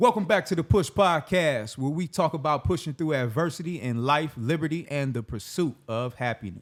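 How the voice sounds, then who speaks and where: A man talks at a moderate pace with lively intonation and a fairly high pitch. It is an ordinary speaking voice, on a very clean recording with a silent background. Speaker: podcast host. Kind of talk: podcast interview questions.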